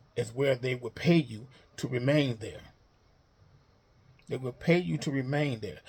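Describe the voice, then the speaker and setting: A man speaks with somewhat breathy air. His pitch varies in an ordinary way. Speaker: YouTuber. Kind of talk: unscripted monologue. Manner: halting, repeats words.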